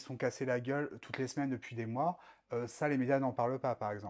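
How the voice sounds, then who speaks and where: A man talks at a medium pitch. It is a very clean recording with a silent background. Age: 30s. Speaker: drag queen performer. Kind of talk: casual interview chat. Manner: animated.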